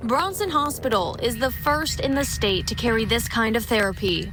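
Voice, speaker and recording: A woman speaks at a moderate pace with very even loudness. Noticeable background noise runs underneath. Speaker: TV news reporter. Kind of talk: news package voiceover.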